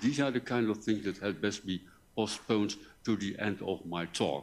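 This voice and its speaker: This man speaks at a fairly slow pace. His pitch is fairly low. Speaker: professor. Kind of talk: lecture. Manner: halting.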